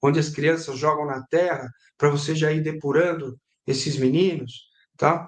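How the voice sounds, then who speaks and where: Speaking at a fairly slow pace, a man uses a plain, everyday voice with a fairly high pitch and fairly even intonation. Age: 50s. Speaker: sports journalist. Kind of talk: casual chat. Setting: live stream.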